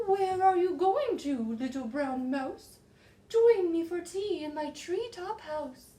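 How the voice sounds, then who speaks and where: This is a put-on character voice with an extremely high pitch. The delivery is fairly slow. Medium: read story.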